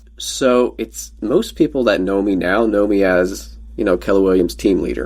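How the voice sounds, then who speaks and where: Pacing is moderate. Pitch swings very widely throughout. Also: man, very deep, low pitch for a man. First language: Pennsylvania Dutch. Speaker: former real estate team leader. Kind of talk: casual podcast interview. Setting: podcast recording, audio only.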